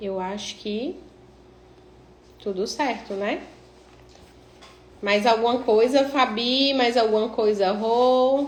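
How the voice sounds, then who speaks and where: With a strong northeastern Brazilian accent, a woman speaks very slowly at a fairly high pitch with ordinary pitch variation, and the room echo is audible. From Northeast Brazil. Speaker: cosmetic tattoo artist and instructor. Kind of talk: live-stream tutorial. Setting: live stream. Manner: casual, chatty.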